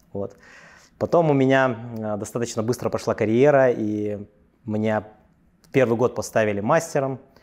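The voice has ordinary pitch variation. The background is quiet. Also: man. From Russia, Yakutia; Russia. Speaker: entrepreneur; interview guest. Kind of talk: interview. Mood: relaxed, confident storytelling. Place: office. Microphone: lapel.

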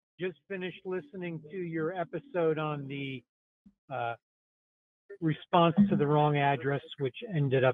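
Here is a man with an American accent and an unremarkable speaking voice. His pitch is fairly high, with ordinary variation, and his pace is moderate. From US Midwest. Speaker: listener calling in. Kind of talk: voicemail message.

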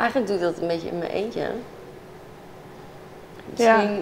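A woman speaks over light background noise. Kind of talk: interview answer. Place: office. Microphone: lapel.

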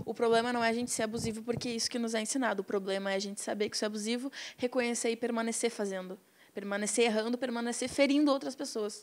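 A woman with an ordinary speaking voice, fairly high in pitch, with fairly even intonation. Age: young. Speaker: activist, documentary participant; guest. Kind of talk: interview. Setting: studio. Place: studio. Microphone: handheld.

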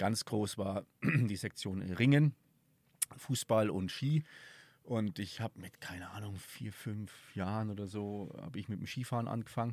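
With a slight Franconian accent, a man speaks fairly slowly at a fairly low pitch, with ordinary pitch variation. The sound is dry, with no echo. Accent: slight Franconian tinge. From southern Thuringia, Germany. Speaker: podcast host, tourism events organizer; podcast host. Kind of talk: casual interview. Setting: outdoors at a mountain hut. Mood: relaxed, reflective. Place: open country. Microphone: studio mic.

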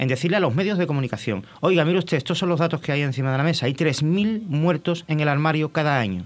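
Lively intonation marks this man's speech at a fairly quick pace. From Madrid, Spain (born in Cádiz). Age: 50s. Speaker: former TV director, tourism association president, depression foundation representative. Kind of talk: TV interview. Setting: TV studio. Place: studio. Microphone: studio mic.

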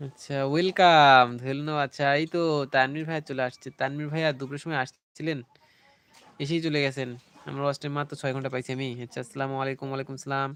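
A man talks in a fairly high voice. His intonation stays flat and monotone. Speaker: YouTube live streamer. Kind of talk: casual live-stream chat reading viewer comments. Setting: live stream with mobile internet.

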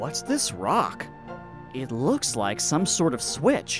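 A put-on character voice speaks at a very slow pace over clear music in the background.

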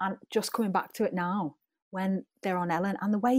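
With a Liverpool accent, a woman speaks in a very clean recording with a silent background. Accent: Scouse. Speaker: pop singer. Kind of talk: interview answer. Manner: chatty.

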